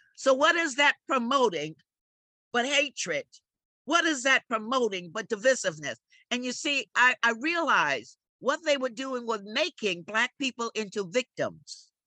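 A woman with a New York accent, a high pitch and very wide pitch swings, in a bright, sharp tone at a fairly slow pace, with a dry, close sound and no echo. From New York City, Harlem. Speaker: community and political activist. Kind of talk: interview.

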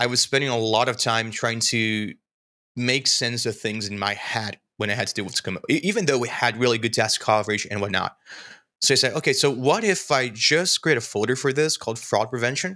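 A man with a Portuguese accent talks at a fairly quick pace in a bright, sharp tone with ordinary pitch variation, on a very clean recording with a silent background. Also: medium pitch for a man. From Brazil. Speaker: software developer and screencast creator.

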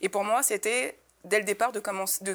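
Here a woman has a normal speaking voice at a fairly high pitch. Her pitch variation is ordinary, and the recording is very clean with a silent background. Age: 20s. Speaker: activist and independent curator. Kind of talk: panel discussion.

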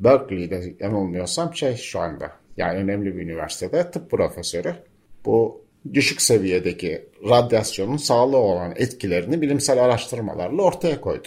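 A man's pitch swings very widely as he talks at a moderate pace on a very clean recording with a silent background. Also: medium pitch for a man. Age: 60s. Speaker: environmental journalist and local councillor. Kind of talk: radio interview. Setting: cooperative building near town square, open to outside sounds.

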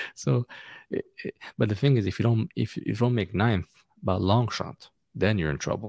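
A man with a fairly low pitch and vocal fry talks at a fairly quick pace, leaving long, frequent pauses. His pitch varies in an ordinary way, and the sound is dry and close with no echo. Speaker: soccer fan and podcaster. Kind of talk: casual chat. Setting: video call. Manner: soft-spoken, quiet.

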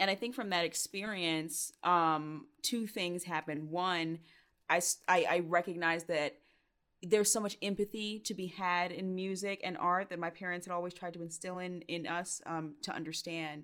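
In an American accent, a woman with a fairly low pitch and an unremarkable speaking voice talks at a moderate pace with fairly even intonation. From US South, Georgia (Stone Mountain). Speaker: singer and spoken word artist. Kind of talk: interview.

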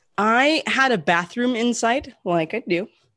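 With an American accent, a woman speaks at a fairly slow pace and with lively intonation. The sound is dry and close, with no echo. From US Pacific Northwest (Portland). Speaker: podcast co-host. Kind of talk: casual chat. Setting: at home, remote recording.

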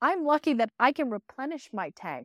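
A woman speaks with a high pitch and lively intonation. The recording is very clean with a silent background and a dry, close sound with no echo. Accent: American. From US Northeast, northwest Pennsylvania. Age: 40s. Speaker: podcast host and resiliency coach. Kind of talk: interview as guest on own show.

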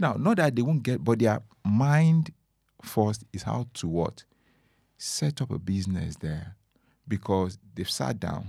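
On a very clean recording with a silent background, a man with an African accent speaks at a fairly slow pace, his pitch swinging very widely. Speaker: motivational speaker. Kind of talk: casual interview conversation. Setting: studio. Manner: soft-spoken.

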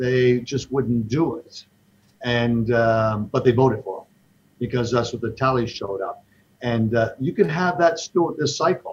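A somewhat breathy male voice, medium in pitch with ordinary variation, at a fairly slow pace. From Toronto, Canada. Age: 60s. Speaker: investment fund manager. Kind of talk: casual interview.

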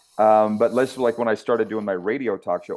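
This man's voice is medium in pitch and moves at a fairly quick pace. His intonation stays fairly even. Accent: Canadian prairie. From Saskatchewan, Canada. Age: 50s. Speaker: sports broadcaster. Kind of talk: interview.

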